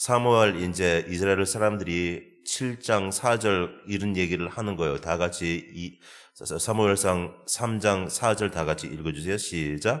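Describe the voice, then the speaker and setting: Very slowly, a man speaks at a very deep, low pitch with ordinary pitch variation. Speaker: pastor. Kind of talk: sermon. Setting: church. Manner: halting, many fillers.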